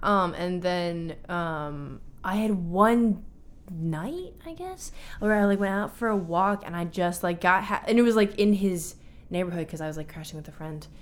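A woman speaks in a plain, everyday voice at a medium pitch and a moderate pace, with fairly even intonation. Her loudness swings a lot. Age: 20s. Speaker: college student and choreographer. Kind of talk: casual chat.

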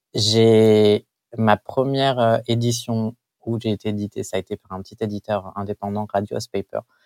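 In a very clean recording with a silent background and a dry, close sound with no echo, a man speaks at a fairly slow pace in a fairly low, monotone voice with flat intonation. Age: 20s. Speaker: comic book artist. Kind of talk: interview. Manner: halting, with frequent repetitions.

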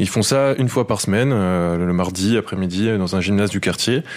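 A man with a very deep, low pitch talks at a moderate pace, varying his pitch in an ordinary way. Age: 20s. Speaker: football journalist. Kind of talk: field report.

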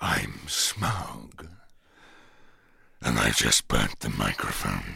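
A man puts on a raspy character voice with a very deep, low pitch. He speaks at a very slow pace. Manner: menacing, boastful.

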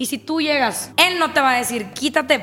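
A woman with a Mexican accent, animated in tone, at a fairly slow pace amid noticeable background noise. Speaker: swinger guest. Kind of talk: casual chat.

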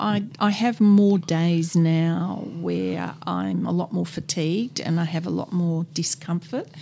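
A woman's fairly low, somewhat breathy voice at a very slow pace, with ordinary pitch variation. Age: 60s. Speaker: person with terminal cancer. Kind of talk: interview.

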